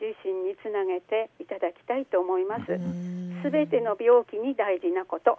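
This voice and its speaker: A woman talks in a normal speaking voice at a medium pitch. Her pace is fairly slow, with ordinary pitch variation. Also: hardly any pauses. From Aomori, northern Japan. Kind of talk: interview. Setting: phone call.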